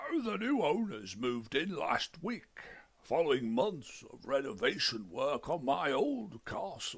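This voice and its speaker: Using a put-on character voice, a man speaks at a fairly high pitch. His pace is fairly slow. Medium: read story. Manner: formal, put-upon, precise.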